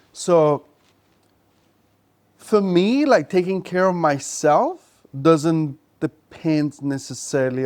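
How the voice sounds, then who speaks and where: A man's voice sits fairly high. He talks very slowly. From Italy. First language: Italian. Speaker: podcast host. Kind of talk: casual chat.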